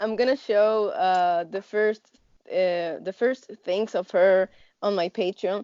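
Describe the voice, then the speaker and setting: A fairly slow pace with a non-native accent. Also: woman. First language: not English. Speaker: artist and animation professor. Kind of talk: interview. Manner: halting, many fillers.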